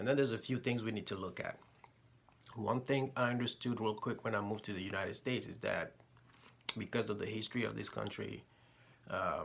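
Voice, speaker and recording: A man with vocal fry speaks at a fairly quick pace, using fairly even intonation and long, frequent pauses. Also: medium pitch for a man. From Togo. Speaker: military service member, vlogger. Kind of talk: personal opinion vlog talking to camera.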